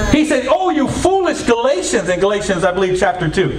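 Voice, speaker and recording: A man speaks in an animated tone with very wide pitch swings. Light background noise and audible room echo surround him. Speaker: preacher. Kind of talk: sermon. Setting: church, wired with a mic for video. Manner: animated, exhorting, call-and-response with the congregation; repetitive. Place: church.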